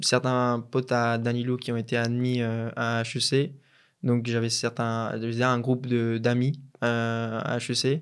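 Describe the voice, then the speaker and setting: A medium-pitched man speaks in a Colombian accent at a fairly slow pace with monotone, flat intonation. The recording is very clean, the background silent. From Colombia, Pereira (center-west). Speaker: business school student. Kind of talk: interview. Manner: hesitant, many fillers and repetitions.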